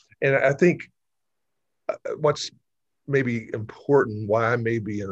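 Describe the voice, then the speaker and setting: A somewhat breathy voice at a moderate pace, with ordinary pitch variation and a quiet background. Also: man. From Georgia, Gwinnett County. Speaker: state legislator. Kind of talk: interview.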